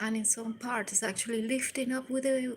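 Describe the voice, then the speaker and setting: Her voice sits fairly high, with a Venezuelan accent. This woman keeps her intonation fairly even. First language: Spanish. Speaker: live streamer. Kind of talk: casual live stream chat. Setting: indoors by a window overlooking the sea. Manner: halting.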